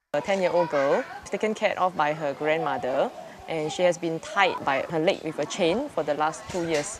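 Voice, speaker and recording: A woman's fairly low voice with ordinary pitch variation, set against noticeable background noise. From Singapore. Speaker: social worker. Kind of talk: interview answer.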